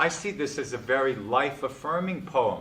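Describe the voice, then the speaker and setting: A man with lively intonation. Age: 60s. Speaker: poetry speaker leading a discussion. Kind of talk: talk on poetry with group discussion. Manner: animated.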